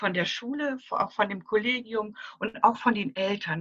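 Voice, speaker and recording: At a moderate pace, a woman speaks at medium pitch with a bright, sharp tone. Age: 60s. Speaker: grief counselor for children. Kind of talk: interview. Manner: halting.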